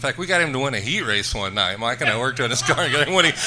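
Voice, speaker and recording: A man speaks with ordinary pitch variation. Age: 60s. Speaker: racing engine builder. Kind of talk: interview. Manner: hesitant, many fillers.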